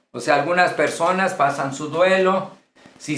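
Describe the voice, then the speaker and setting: Here a man speaks at a very slow pace and a fairly high pitch. Room echo is audible. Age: 60s. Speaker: pastor. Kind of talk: lecture.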